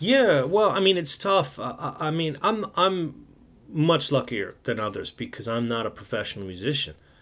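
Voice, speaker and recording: Pitched fairly high, a man with a New York accent swings very widely in pitch at a moderate pace. The recording is very clean, with a silent background. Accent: New York American. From New York City. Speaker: jazz radio host and DJ. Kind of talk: casual interview.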